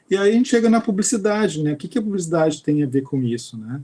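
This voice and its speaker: The voice has a dark, mellow tone with ordinary pitch variation. It moves at a very fast pace. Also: man. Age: 50s. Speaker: university professor and researcher. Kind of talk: lecture.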